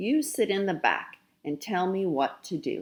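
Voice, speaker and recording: A female-sounding, put-on character voice, growling at a middle pitch and a moderate pace. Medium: read story.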